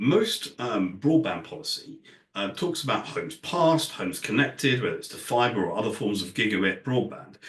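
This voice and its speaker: A British accent at a fairly quick pace. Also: man. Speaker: industry analyst. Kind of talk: conference talk. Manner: hesitant, many fillers.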